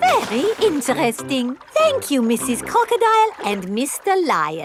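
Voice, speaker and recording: A cartoonish character voice, high-pitched, at a moderate pace over loud background noise. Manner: polite, gentle.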